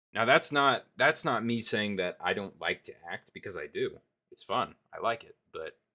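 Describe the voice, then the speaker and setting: Big swings in loudness mark a man's speech at a moderate pace. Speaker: streamer. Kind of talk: casual chat. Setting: live stream.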